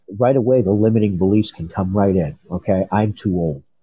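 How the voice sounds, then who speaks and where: The man speaking has a fairly low pitch. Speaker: entrepreneur and life coach. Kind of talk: interview storytelling.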